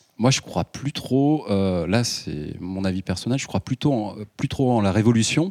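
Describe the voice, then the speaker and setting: A man with an ordinary speaking voice talks at a fairly slow pace and medium pitch with lively intonation, recorded dry and close with no echo, very clean against a silent background. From Ardèche, southern France. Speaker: filmmaker and local councillor. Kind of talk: public panel debate.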